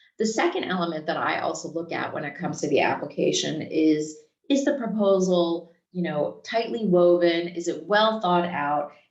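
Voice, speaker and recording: With an American accent, a woman talks at a fairly low pitch in a room with audible echo. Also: ordinary pitch variation, moderate pace. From United States. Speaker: think tank director, selection committee member. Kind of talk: prepared remarks at online info session. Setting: video call.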